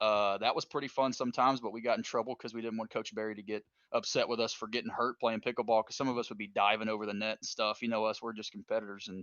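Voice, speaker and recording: Hardly pausing, a man with a Kentucky accent talks at a very fast pace in a monotone, flat intonation. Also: medium pitch for a man. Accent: Kentucky country. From Kentucky, Richmond. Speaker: former college baseball player. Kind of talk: casual chat.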